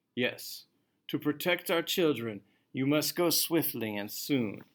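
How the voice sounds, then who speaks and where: Cackling in a put-on character voice, a man speaks at a fairly high pitch and a fairly slow pace. The recording is very clean, with a silent background. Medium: read story. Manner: stubborn, cackling.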